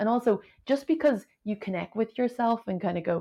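A woman speaks in an unremarkable speaking voice at a moderate pace. Her pitch varies in an ordinary way, over a quiet background. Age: 40s. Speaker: breathwork coach and former neuroscientist. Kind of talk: casual interview chat.

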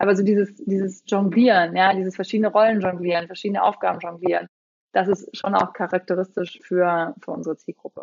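A woman talks fairly quickly at a medium pitch in an unremarkable speaking voice. Her intonation stays fairly even. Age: 40s. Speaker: startup founder. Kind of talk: interview.

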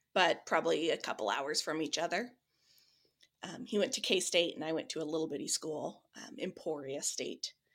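A woman with a Midwestern American accent and a fairly low pitch talks at a moderate pace with very wide pitch swings and big swings in loudness. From US Midwest. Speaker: bereaved mother, grief support founder. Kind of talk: interview.

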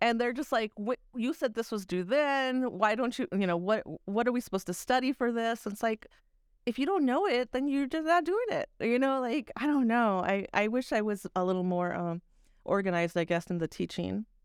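With an American accent, a woman uses a normal speaking voice at a fairly high pitch, moderate pace and lively intonation, the sound dry and close with no echo. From Texas. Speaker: professor and video producer. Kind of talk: casual chat. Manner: direct.

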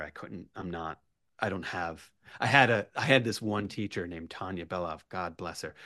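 Speaking at a fairly quick pace, a man with an American accent has a very deep, low pitch, a bright, sharp tone and ordinary pitch variation. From Virginia, US South. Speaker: horror writer. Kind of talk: casual chat. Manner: animated.

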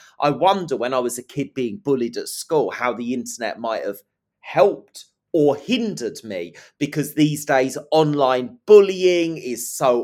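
Against a silent background in a very clean recording, a man with a fairly high pitch speaks at a fairly slow pace with lively intonation and an animated tone. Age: 40s. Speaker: professional poet. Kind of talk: casual chat.

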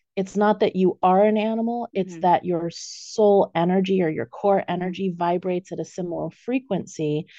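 A woman's normal speaking voice at a medium pitch, moderate in pace with hardly any pauses, fairly even in intonation but with big swings in loudness. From raised overseas, US family. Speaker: animal soul reader and artist. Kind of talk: interview conversation.

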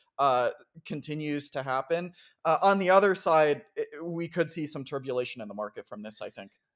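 Lively intonation and big swings in loudness mark an ordinary speaking voice at a fairly quick pace. The recording is very clean with a silent background. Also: man, fairly high pitch for a man. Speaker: podcast co-host. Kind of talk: casual chat, news recap.

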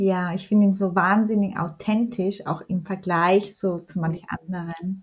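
A woman's somewhat breathy, medium-pitched voice, fairly slow with hardly any pauses and a monotone, flat intonation. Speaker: self-love coach and author. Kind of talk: podcast interview.

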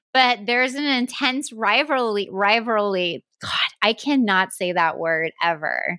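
A woman with an American accent speaks loudly in a bright, sharp tone at a fairly high pitch, her intonation lively, on a very clean recording with a silent background. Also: fairly slow pace. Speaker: podcast co-host. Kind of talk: casual chat. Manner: laughs a lot, loud laugh.

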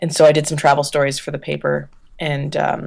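A woman speaks with a Canadian accent. Her pace is fairly quick. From Canada, Ottawa. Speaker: freelance journalist. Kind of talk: casual interview.

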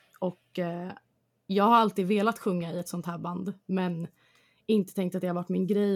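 A woman's normal speaking voice at medium pitch with fairly even intonation. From Stockholm suburbs, Sweden. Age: 20s. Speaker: band singer. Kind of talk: interview.

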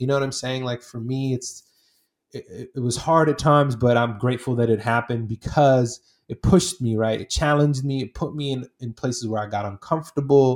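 Recorded very cleanly against a silent background, a man with an American accent talks at a fairly quick clip in an ordinary speaking voice, fairly high for a man, with ordinary pitch variation. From Portland, Oregon (arrived at 9 from Iraq). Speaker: author and speaker. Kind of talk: casual interview chat.

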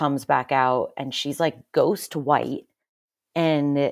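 A woman with an American accent and a very deep, low pitch speaks at a very slow pace with fairly even intonation on a very clean recording with a silent background. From Pennsylvania. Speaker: former pro snowboarder, brain injury survivor. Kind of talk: interview.

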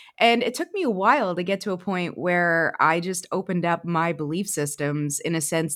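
The speech shows ordinary pitch variation on a very clean recording with a silent background. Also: woman. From Canada (Ontario, then Nova Scotia). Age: 40s. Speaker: podcast host. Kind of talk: solo monologue. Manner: casual, hesitant with many fillers.

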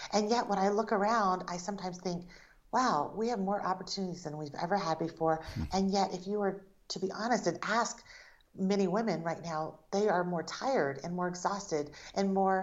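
This woman has a normal speaking voice at medium pitch. She talks at a fairly quick pace with ordinary pitch variation. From Taiwan, raised in the United States from age four. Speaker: author and artist. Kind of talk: interview.

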